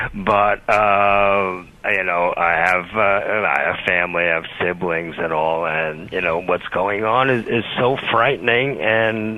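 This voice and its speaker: This man talks at a very slow pace with hardly any pauses, his fairly low voice holding very even loudness. His pitch varies in an ordinary way, and there is noticeable background noise. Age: 60s. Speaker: caller. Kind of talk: call-in radio conversation. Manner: halting.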